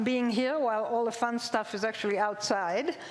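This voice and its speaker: Audible room echo surrounds a woman with an Israeli accent who speaks at a moderate pace, fairly high-pitched for a woman, with ordinary pitch variation. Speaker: zoology professor. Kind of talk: public lecture. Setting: stage with audience.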